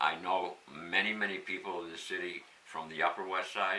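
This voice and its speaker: With noticeable background noise behind him, a man with an American accent talks at a moderate pace in a very deep, low pitch. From Pittsfield, Massachusetts. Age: 70s. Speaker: local election candidate. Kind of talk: interview.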